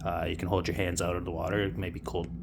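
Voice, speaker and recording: There is audible echo from the room. A man talks with a Canadian accent. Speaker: cold water plunging vlogger. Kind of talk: casual tutorial. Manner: casual with frequent fillers.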